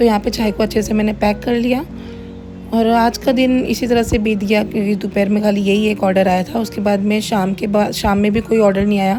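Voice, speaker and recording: A woman's fairly quick, monotone delivery at medium pitch, with flat intonation, very even loudness and music in the background. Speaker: home cook running a cloud kitchen, vlogger. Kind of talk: vlog voice-over narration.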